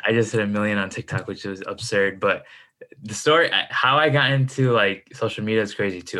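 On a very clean recording with a silent background, a man with an American accent speaks at a fairly quick pace. His fairly low voice has a bright, sharp tone and ordinary pitch variation. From US Midwest, Chicago suburbs. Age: 20s. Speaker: entrepreneur and finance content creator. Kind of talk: casual interview chat.

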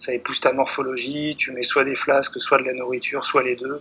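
The man's pitch is fairly high, and he keeps to a moderate pace. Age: 30s. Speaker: long-distance runner and writer. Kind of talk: interview. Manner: halting.

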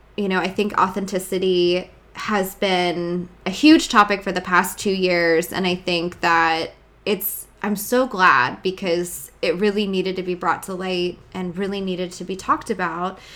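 A woman with a plain, everyday voice at a fairly slow pace. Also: medium pitch for a woman, fairly even intonation. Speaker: podcast host. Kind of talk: casual interview chat.

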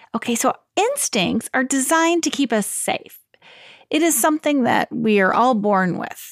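A woman speaks in a high pitch at a moderate pace with lively intonation. The sound is dry and close, with no echo. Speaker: life coach and parenting podcast host. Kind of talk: advice podcast monologue. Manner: clear and confident.

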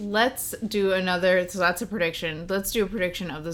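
A woman with an unremarkable speaking voice keeps a fairly low pitch and fairly even intonation. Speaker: podcast host. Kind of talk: casual chat.

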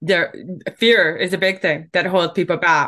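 A woman with a Canadian accent has a normal speaking voice at a medium pitch. She talks at a moderate pace. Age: 50s. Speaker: book publishing coach and speaker. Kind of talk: casual interview.

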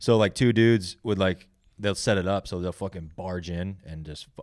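A man at a very fast pace. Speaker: podcast co-host, performer on stage. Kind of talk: casual banter, crude humor. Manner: animated, profane.

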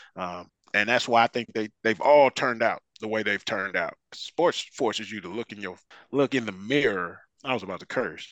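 In an American accent, a man with an unremarkable speaking voice talks at a moderate pace, fairly low in pitch with ordinary variation. His loudness swings widely, and the sound is dry and close with no echo. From Detroit, Michigan. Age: 40s. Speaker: football fan, uncle of an NFL player. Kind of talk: casual chat.

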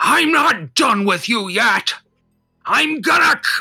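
A man's raspy, put-on character voice, extremely high in pitch and fairly slow in pace. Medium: actual play. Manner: halting, stammering.

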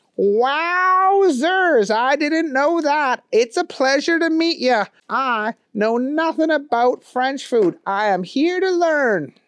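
At a very slow pace, someone uses a put-on character voice with a high pitch. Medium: read story. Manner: folksy, clueless, cheerful.

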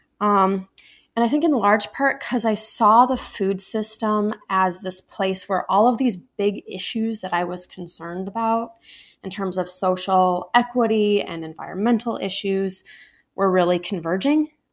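A woman with a medium pitch and ordinary pitch variation talks at a moderate pace in an ordinary speaking voice. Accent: American. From Iowa, US Midwest. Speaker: sustainable agriculture nonprofit program director. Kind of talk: podcast interview.

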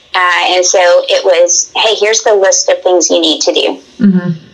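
Over noticeable background noise, a woman with an American accent talks at a moderate pace. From Tennessee. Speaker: hunter. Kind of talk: casual chat.

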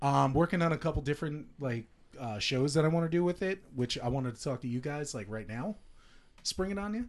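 Speaking fairly quickly with lively intonation, a man has a normal speaking voice pitched fairly high. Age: 30s. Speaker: professional wrestler and toy business owner. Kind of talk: casual chat.

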